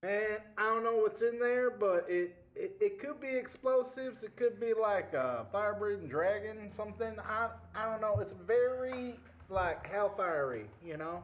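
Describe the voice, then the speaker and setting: A man drawls in a put-on character voice, pitched high, at a moderate pace, with ordinary pitch variation. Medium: actual play. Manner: drawling, folksy, peppered with "man" and "y'all".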